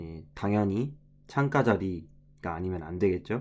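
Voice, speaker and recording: A man's fairly low voice with a dark, mellow tone. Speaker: travel vlogger. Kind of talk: vlog voiceover narration. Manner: casual, conversational with self-corrections.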